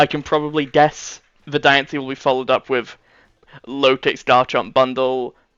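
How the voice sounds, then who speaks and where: Speaking at a moderate pace, a man uses a medium pitch and fairly even intonation. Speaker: gaming YouTuber. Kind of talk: gameplay commentary. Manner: casual, hesitant with fillers.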